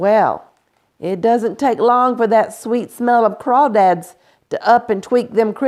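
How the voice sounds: The intonation stays fairly even in this natural reading voice. Nothing disturbs the quiet background.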